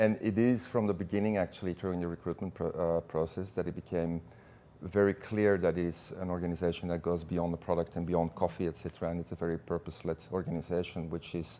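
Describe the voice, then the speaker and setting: A man's very deep, low, dark and mellow voice at a very fast pace. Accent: Belgian. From Belgium. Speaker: business executive. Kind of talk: interview. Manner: hesitant, many fillers and repeats.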